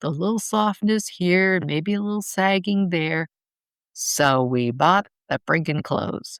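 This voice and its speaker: In a plain, everyday voice, a woman speaks at a medium pitch and a fairly slow pace with lively intonation, the sound dry and close with no echo. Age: 60s. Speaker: podcast host. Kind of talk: solo podcast monologue. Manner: conversational.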